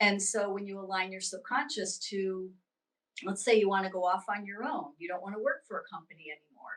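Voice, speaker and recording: In an American accent, a woman with an ordinary speaking voice talks at a fairly quick pace at medium pitch, her pitch varying in an ordinary way while her loudness swings widely. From US East Coast. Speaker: spiritual teacher and intuitive reader. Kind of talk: interview.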